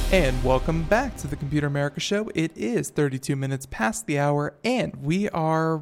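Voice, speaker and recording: In a very clean recording with a silent background, a man with an ordinary speaking voice talks at a fairly high pitch and a fairly quick pace, with ordinary pitch variation. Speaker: radio talk show host. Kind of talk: radio tech talk show. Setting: studio. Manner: filler-heavy, casual with many uh and you know.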